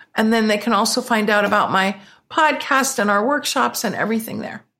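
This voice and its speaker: With an American accent, a woman speaks in an ordinary speaking voice at a fairly high pitch with ordinary pitch variation, in a very clean recording with a silent background. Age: 50s. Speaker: business coach. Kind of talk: interview.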